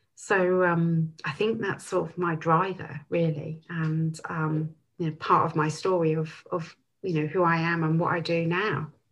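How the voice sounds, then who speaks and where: This woman talks at a fairly slow pace, her pitch fairly low and her voice somewhat breathy. Her intonation stays monotone and flat. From southwest England, Bristol area. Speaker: business owner. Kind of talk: casual interview chat.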